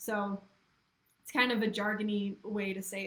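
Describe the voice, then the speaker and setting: Somewhat breathy delivery in a monotone, flat intonation. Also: woman. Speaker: copywriter. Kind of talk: webinar talk. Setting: live video stream.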